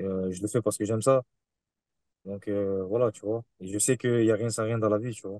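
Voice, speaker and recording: In a Marseille accent, a man talks at a fairly quick pace with a fairly low pitch, a dark, mellow tone and monotone, flat intonation, the sound dry and close with no echo. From Marseille, southern France. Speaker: kickboxer. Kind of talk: interview.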